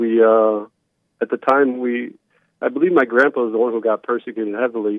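Fairly even intonation carries speech delivered at a moderate pace. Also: man. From Romania, moved to US as child. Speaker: caller. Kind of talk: casual chat. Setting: phone call. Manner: halting.

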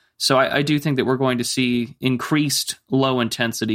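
Fairly even in intonation and medium in pitch, a man's voice, an unremarkable speaking voice, moves at a moderate pace. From US, army family (moved around). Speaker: political commentator. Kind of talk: interview.

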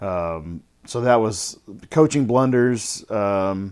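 A plain, everyday voice with ordinary pitch variation, captured on a very clean recording with a silent background. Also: man. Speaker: podcast co-host.

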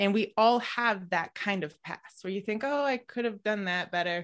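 A woman's plain, everyday voice, medium-pitched with lively intonation, at a moderate pace against a quiet background. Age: 30s. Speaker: fiction writer and creative coach. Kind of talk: casual interview.

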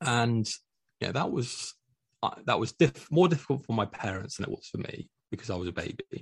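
The voice is somewhat breathy, with lively intonation. The sound is dry and close, with no echo. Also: man, medium pitch for a man, fairly quick pace. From Scotland, Dundee. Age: 30s. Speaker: interview guest sharing mental health story. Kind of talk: personal testimony in interview.

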